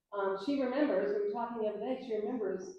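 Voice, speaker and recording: A woman with an American accent speaks at a fairly high pitch with lively intonation, and the room echo is audible. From US South, Atlanta, Georgia. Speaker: digital artist. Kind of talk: interview at a public talk. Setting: museum event with audience.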